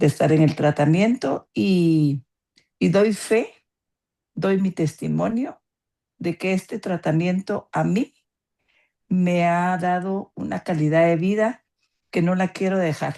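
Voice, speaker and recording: Against a quiet background, a woman speaks at a very slow pace with long, frequent pauses. Her fairly low voice has a dark, mellow tone and ordinary pitch variation. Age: 70s. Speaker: patient giving testimony. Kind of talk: testimony.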